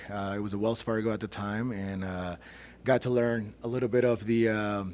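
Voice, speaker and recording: A man talks at a moderate pace and a medium pitch, in a monotone, flat intonation. Noticeable background noise is present. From immigrant to US at 14, raised in Aurora, Colorado. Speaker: real estate investor. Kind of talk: casual interview.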